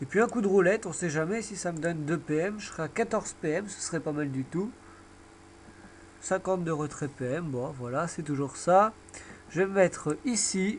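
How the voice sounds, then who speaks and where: Pausing long and often, a man speaks at a moderate pace in a high voice with ordinary pitch variation. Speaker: gaming video creator. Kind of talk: live gameplay commentary.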